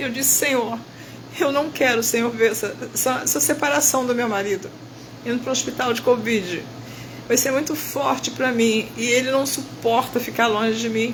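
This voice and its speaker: In a room with audible echo and noticeable background noise, a woman talks at a moderate pace in a high voice. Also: ordinary pitch variation. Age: 70s. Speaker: bible teacher. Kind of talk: testimony. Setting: hospital room. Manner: emotional.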